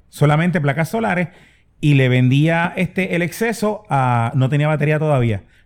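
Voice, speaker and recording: Over a very clean recording and silent background, a man with an unremarkable speaking voice talks at a moderate pace, fairly high in pitch, with lively intonation and very even loudness. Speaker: podcast co-host. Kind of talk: casual chat.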